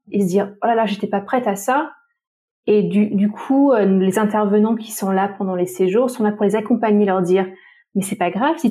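In a very clean recording with a silent background, a woman speaks somewhat breathily, fairly high-pitched for a woman, with ordinary pitch variation. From Tahiti. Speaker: travel agency founder. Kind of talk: casual interview.

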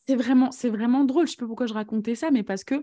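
A woman's high-pitched voice with a dark, mellow tone against a quiet background. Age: 30s. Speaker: podcast host and eating coach. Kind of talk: casual interview chat.

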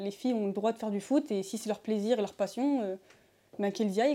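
A woman with a fairly high pitch speaks in a dark, mellow tone with fairly even intonation. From France, Isère. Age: 20s. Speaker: university student and amateur footballer. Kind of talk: interview. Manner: halting, with fillers.

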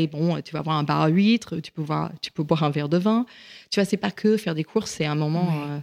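In a very clean recording with a silent background and a dry, close sound with no echo, a woman with an English accent talks at a fairly quick pace in a very deep, low pitch with ordinary pitch variation. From US, rural Virginia. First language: English (speaking French). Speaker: chef and caterer. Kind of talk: interview. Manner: halting.

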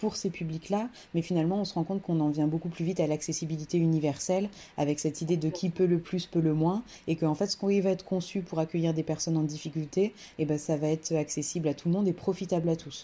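At a very fast pace, a woman with a fairly low pitch and a dark, mellow tone talks in a monotone, flat intonation. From France, Creuse. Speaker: museum cultural mediator. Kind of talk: interview.

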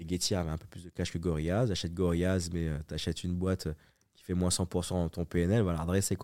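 A man with a very deep, low pitch and a dark, mellow tone talks at a fairly quick pace in a monotone, flat intonation, with big swings in loudness. The recording is very clean, with a silent background. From Paris suburbs, Évry. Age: 40s. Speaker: entrepreneur. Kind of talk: casual interview. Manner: halting, many repetitions.

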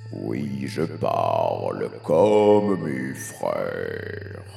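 A man's put-on character voice at a very slow pace over clear music in the background.

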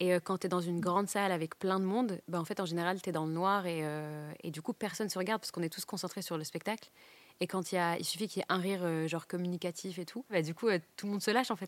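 On a very clean recording with a silent background and a dry, close sound with no echo, a woman speaks very fast at a medium pitch with fairly even intonation. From northern France, Douai. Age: 20s. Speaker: stand-up comedian. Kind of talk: casual interview chat. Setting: comedy club venue.

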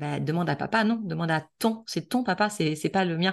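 A woman speaks in a normal speaking voice at a fairly quick pace. Her pitch is fairly low, and her intonation is lively. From western France, La Baule near Nantes. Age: 40s. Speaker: entrepreneur and author on couples. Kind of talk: interview conversation.

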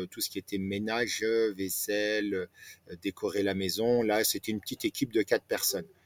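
Recorded with a dry, close sound and no echo, a man talks at a medium pitch. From France, Nancy (Lorraine). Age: 40s. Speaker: restaurant owner, former retail manager. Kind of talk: interview. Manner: hesitant, many fillers.

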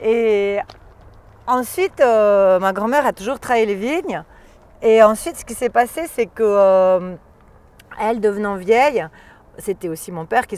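In a very clean recording with a silent background, a woman speaks at a fairly slow pace and medium pitch, with lively intonation, big swings in loudness and long, frequent pauses. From Valais, Switzerland. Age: 40s. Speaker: wine expert. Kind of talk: casual chat. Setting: outdoors. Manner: animated; halting.

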